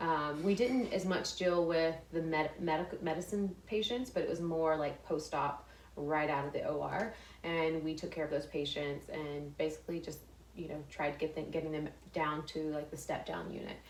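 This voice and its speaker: A woman with an American accent talks at a moderate pace, with a very deep, low pitch. Her ordinary pitch variation carries audible room echo. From Texas, small town. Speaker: fashion influencer and former nurse. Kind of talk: interview conversation. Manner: halting, many fillers and restarts.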